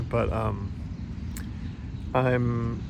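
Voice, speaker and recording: A man talks over noticeable background noise. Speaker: podcaster. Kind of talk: casual podcast talk recorded outdoors. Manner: rambling, hesitant.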